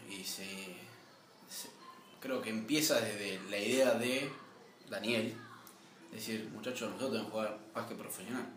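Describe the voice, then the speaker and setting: Amid noticeable background noise and audible room echo, a man talks at a moderate pace in a medium pitch with fairly even intonation and long, frequent pauses. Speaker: sports club vice president, former basketball coach. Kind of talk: interview.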